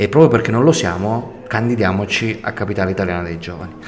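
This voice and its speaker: A man speaks at a very fast pace in a fairly low pitch. Noticeable background noise runs under his voice. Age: 40s. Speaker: entrepreneur and engineer. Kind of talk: radio interview. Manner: hesitant fillers.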